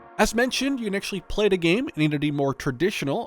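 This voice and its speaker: A man's voice swings very widely in pitch, with music playing in the background. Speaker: gaming YouTuber. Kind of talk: casual talk to camera, game preview.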